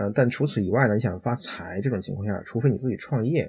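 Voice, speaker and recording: At a very fast pace, a man speaks in a medium pitch with a dark, mellow, somewhat breathy tone and ordinary pitch variation. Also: very clean recording, silent background. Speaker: IT professional. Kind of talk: interview conversation.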